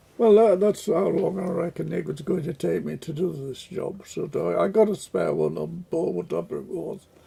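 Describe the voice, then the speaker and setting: A man talks at a medium tempo, and clearly audible noise sits behind him. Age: 80s+. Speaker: retired railway engineer. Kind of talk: casual interview. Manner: halting.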